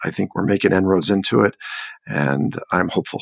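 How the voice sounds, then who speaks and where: With an American accent, a man speaks at a moderate pace in a very deep, low voice with vocal fry, the sound dry and close with no echo. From California. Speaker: construction director. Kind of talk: casual interview.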